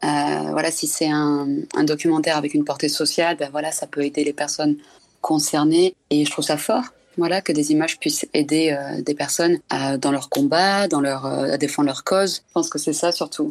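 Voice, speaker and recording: Over music in the background, a woman with a very deep, low voice speaks at a moderate pace with fairly even intonation, the sound dry and close with no echo. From southern France. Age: 30s. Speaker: documentary photographer. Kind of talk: casual interview.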